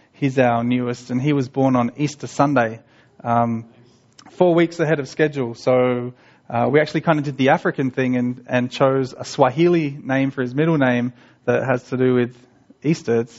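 A man talks with an Australian accent. His intonation stays fairly even. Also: medium pitch for a man, moderate pace. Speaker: missionary. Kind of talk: church talk. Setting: church.

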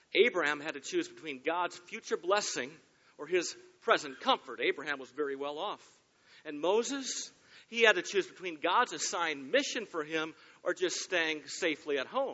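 Speaking at a moderate pace in a Michigan accent, this voice has lively intonation and big swings in loudness. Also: man, high pitch for a man. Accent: US Midwest (Michigan). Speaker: pastor. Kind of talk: sermon. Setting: church.

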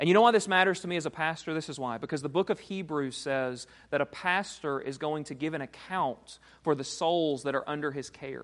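Man with a normal speaking voice, fairly high pitch, ordinary pitch variation and a fairly quick pace, over a quiet background. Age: 30s. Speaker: pastor. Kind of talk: sermon.

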